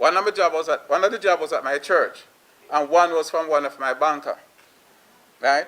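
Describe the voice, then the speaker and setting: A man's high-pitched voice with a Jamaican accent, a fairly quick pace, long, frequent pauses and ordinary pitch variation. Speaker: plumbing business owner. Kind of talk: panel discussion remarks.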